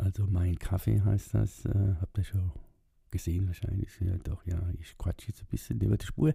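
Speaking at a moderate pace, a man uses a very deep, low pitch with vocal fry and ordinary pitch variation. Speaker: video blogger. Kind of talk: casual monologue. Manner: hesitant, many fillers.

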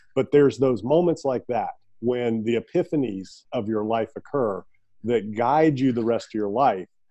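This is a normal speaking voice at a moderate pace with ordinary pitch variation. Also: man, medium pitch for a man. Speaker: podcast host. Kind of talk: interview, friendly conversation. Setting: remote call.

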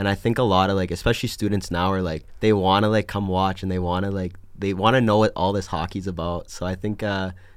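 In a Canadian accent, this voice runs at a very fast pace with a monotone, flat intonation, captured in a very clean recording over a silent background. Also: man. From Alberta, Canada. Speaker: college ice hockey goalie. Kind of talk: casual interview chat.

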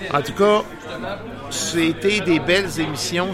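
A man's fairly slow speech with crowd noise in the background. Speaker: radio host. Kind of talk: casual chat. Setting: studio. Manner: halting.

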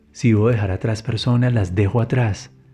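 A man speaks at a moderate pace with ordinary pitch variation, his tone dark and mellow and somewhat breathy. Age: 40s. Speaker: podcast host and motivational speaker. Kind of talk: motivational monologue.

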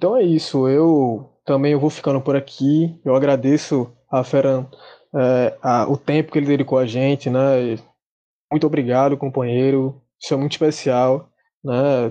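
The tone is dark and mellow, the intonation fairly even. The pace is fairly slow. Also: man, fairly high pitch for a man. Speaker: podcast host. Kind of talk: history explanation and interview.

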